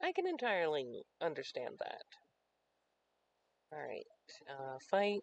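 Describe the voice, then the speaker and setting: A soft-spoken man at a fairly slow pace, with long, frequent pauses and a dry, close sound free of echo. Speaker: livestreamer and tabletop wargame player. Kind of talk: casual chat.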